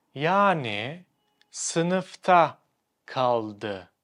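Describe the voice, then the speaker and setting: A man with a Turkish accent is heard in a very clean recording with a silent background. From Turkey. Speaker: language teacher. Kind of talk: tutorial.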